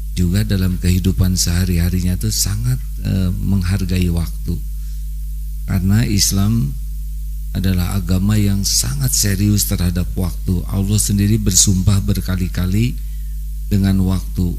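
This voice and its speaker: With music in the background, a man speaks slowly at a very deep, low pitch, swinging it very widely. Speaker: religious preacher. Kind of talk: sermon. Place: studio. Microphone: handheld.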